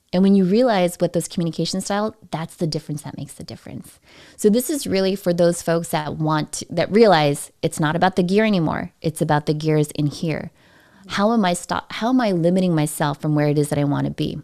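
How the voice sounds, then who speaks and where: Fairly low in pitch, this woman's voice has a dark, mellow tone. She moves at a fairly quick pace with ordinary pitch variation. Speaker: communication and sales coach. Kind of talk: interview on live stream. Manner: fast.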